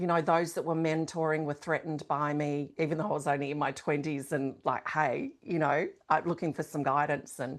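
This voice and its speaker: A woman speaks at a fairly quick pace with hardly any pauses, her very deep, low voice staying monotone and flat over a very clean recording with a silent background. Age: 60s. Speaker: shaman and leadership coach. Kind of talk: interview.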